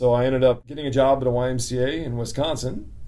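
Heard with audible room echo, a man speaks at medium pitch in an American accent with a dark, mellow tone. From Central California. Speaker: YMCA director. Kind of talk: interview.

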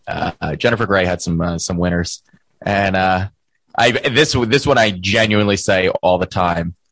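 A man with an unremarkable speaking voice talks at a moderate pace and fairly low pitch, with ordinary pitch variation and a dry, close sound with no echo. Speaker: podcast co-host. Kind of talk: casual chat.

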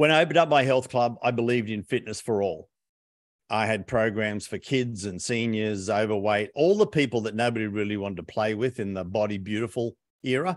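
In a quiet setting, a man with an Australian accent speaks fairly quickly, his fairly low pitch showing ordinary variation. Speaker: business coach and author. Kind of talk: interview.

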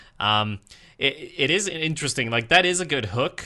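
A man with a Swedish accent speaks at a medium pitch in a bright, sharp tone. The background is quiet. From Sweden. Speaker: podcast host. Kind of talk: casual chat.

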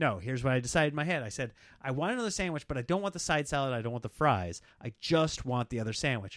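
Very fast, lively male speech at a medium pitch, with an American accent. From Nebraska. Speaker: comedian. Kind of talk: casual chat; show promo.

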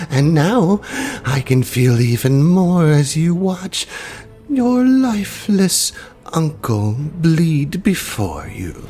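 A put-on character voice with a menacing tone speaks at a very slow pace and middle pitch over clear background noise. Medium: actual play. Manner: menacing, gloating.

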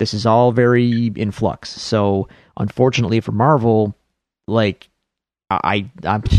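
With a Buffalo accent, a man speaks at medium pitch. The background is quiet. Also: dry, close sound with no echo. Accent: Buffalo, western New York. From Buffalo, New York. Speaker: podcast host. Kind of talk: casual chat.

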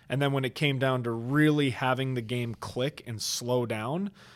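The recording is very clean with a silent background. A man with an American accent has a normal speaking voice at a medium pitch with ordinary pitch variation. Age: 20s. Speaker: podcast host and former lacrosse player. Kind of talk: casual interview chat. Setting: studio, on camera.

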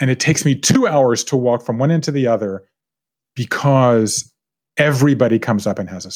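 A man with an American accent and a plain, everyday voice talks at a fairly quick pace with ordinary pitch variation. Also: medium pitch for a man. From US South, coastal Georgia (Savannah). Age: 50s. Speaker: author. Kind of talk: casual chat. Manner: laughs often.

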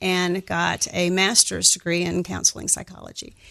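A woman's bright, sharp, medium-pitched voice with an American accent at a moderate pace, dry and close with no echo. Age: 60s. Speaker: counselor, financial client. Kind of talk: interview.

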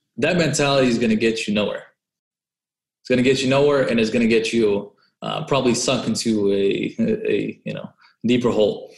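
This man has a Californian accent. He talks at a fairly quick pace. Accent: Californian American. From Southern California (Orange County), born in Russia. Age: 20s. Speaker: credit and travel hacker, entrepreneur. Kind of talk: interview.

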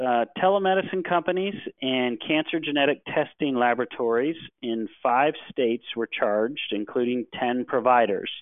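This man has an ordinary speaking voice with an American accent and a medium pitch. He talks at a moderate pace with lively intonation. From US Midwest (Cleveland, Ohio). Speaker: healthcare regulatory attorney. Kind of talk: webinar presentation.

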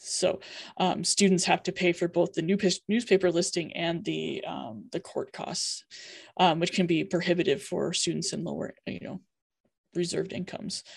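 With an American accent, a woman speaks at a moderate pace and a fairly low pitch. Vocal fry marks her fairly even intonation. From Iowa, US Midwest. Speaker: university LGBTQ office director. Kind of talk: panel discussion.

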